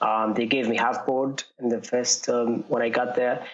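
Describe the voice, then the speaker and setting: A man talks at a fairly quick pace with a Jordanian accent. His pitch is medium. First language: Arabic. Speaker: runner. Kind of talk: interview. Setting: podcast. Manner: halting, many fillers.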